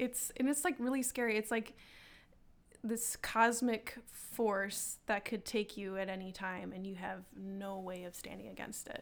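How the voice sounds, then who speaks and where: On a very clean recording with a silent background, a woman with a plain, everyday voice speaks at a fairly slow pace and a fairly high pitch, with ordinary pitch variation and big swings in loudness. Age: 20s. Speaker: artist and roller derby player. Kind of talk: casual interview, personal paranormal stories.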